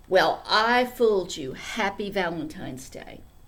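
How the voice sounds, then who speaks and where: Here a woman uses a put-on character voice at a medium pitch. She keeps a moderate pace. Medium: read story.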